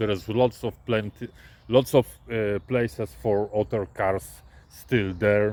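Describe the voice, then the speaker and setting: Speaking at a very slow pace, a man talks with a non-native accent. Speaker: truck driver. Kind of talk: casual vlog storytelling. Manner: halting, many hesitations.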